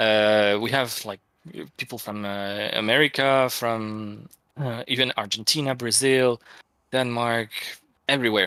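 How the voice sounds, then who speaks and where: Fairly slow speech with a French accent, a bright, sharp tone, fairly even intonation, and long, frequent pauses. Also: man, medium pitch for a man. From France. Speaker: game art director. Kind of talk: casual chat. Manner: halting, many fillers.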